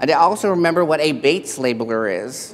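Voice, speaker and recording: With a Texan accent, a man talks at a fairly quick pace with a fairly high pitch. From Texas. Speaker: keynote speaker, paralegal. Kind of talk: keynote speech. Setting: stage with audience.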